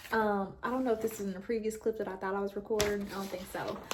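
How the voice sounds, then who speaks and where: Over noticeable background noise, a woman speaks in a medium pitch with an animated tone. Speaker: book vlogger. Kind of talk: casual vlog chat. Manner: fast.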